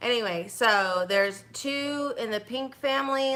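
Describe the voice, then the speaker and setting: Noticeable background noise sits under a woman's voice. She speaks fairly slowly at a fairly high pitch. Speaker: makeup artist and beauty consultant. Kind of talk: makeup tutorial livestream. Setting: livestream at home. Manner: halting, with fillers and repetitions.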